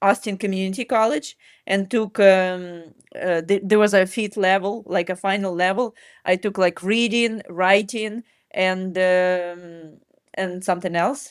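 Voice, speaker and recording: A woman with a Ukrainian accent at a fairly slow pace, on a very clean recording with a silent background. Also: medium pitch for a woman, fairly even intonation. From Ukraine. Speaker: mindset and running coach. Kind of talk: interview answer.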